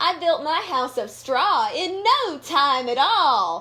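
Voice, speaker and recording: A woman does a put-on character voice, pitched high. She speaks at a very slow pace. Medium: read story. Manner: merry, carefree.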